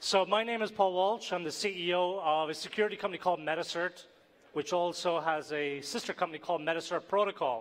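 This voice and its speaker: A man with a high pitch and ordinary pitch variation, speaking at a very fast pace. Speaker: tech company CEO, conference speaker. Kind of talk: conference talk.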